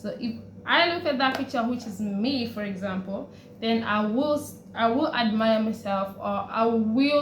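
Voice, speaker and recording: A woman's fairly high-pitched voice is heard with audible room echo. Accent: East African. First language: Swahili. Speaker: vlogger. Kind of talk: personal vlog. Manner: casual, hesitant with fillers.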